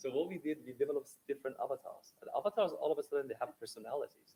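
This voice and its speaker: A man with an Iranian accent, at a very fast pace. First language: Persian. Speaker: accessibility technology developer. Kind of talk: panel discussion.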